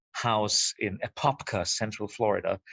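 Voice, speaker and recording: Speaking fairly slowly, a man with a German accent uses a medium pitch. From Austria. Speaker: filmmaker. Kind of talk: podcast interview. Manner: halting, many repeated words.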